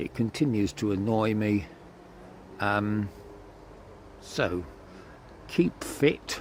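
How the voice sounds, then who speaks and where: This man's voice sits at a fairly low pitch. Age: 70s. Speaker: choir conductor and hiker. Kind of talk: casual vlog recap. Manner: halting, with fillers.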